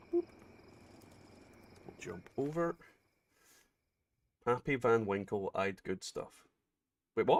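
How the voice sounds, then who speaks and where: A man with a Scottish accent at medium pitch, very slow and full of long, frequent pauses, with lively intonation and a dry, close sound with no echo. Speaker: gaming streamer. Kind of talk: casual chat. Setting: livestream.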